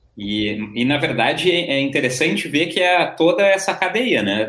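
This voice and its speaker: Delivered at a moderate pace, the speech rises and falls in very wide pitch swings. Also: man. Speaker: journalist and live-stream host. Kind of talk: live-stream panel discussion. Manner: animated.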